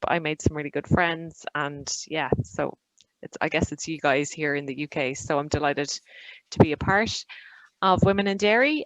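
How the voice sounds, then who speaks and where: A woman in an Irish accent, very deep, low pitch, ordinary pitch variation and a moderate pace. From Ireland. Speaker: digital marketing consultant. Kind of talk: webinar presentation.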